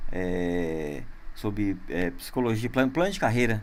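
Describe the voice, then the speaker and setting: Audible room echo surrounds a man of medium pitch whose intonation is lively. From interior of São Paulo state, Brazil. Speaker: podcast host. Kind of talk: casual interview. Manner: halting, many fillers.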